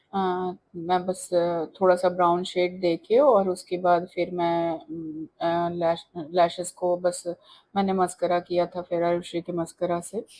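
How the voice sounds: With little pitch movement and a dark, mellow tone, a woman speaks at a fairly low pitch and a fairly slow pace.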